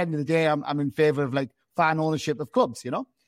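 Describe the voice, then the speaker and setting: Speaking with a Geordie accent, a man talks at a very fast pace with a fairly high pitch, the sound dry and close with no echo over a quiet background. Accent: Geordie, north east England. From Gateshead, north east England. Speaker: football fan and campaign group founder. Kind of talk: interview conversation.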